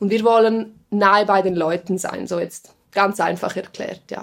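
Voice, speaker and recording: An unremarkable speaking voice. The pace is moderate. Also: woman. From Switzerland, Engadin (Graubünden). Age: 20s. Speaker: TV presenter and journalist. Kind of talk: interview conversation. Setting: studio.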